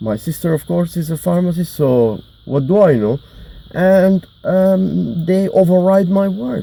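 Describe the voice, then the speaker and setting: Mumbling with a non-native accent, a man has a dark, mellow tone and very wide pitch swings. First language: not English. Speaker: mental health vlogger. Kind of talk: personal monologue. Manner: halting, many fillers.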